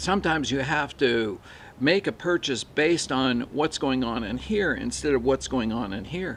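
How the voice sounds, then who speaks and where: In a quiet background, a man of medium pitch talks at a fairly slow pace with lively intonation and vocal fry. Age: 60s. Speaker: mountain biker. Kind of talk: product review to camera. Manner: casual, hesitant.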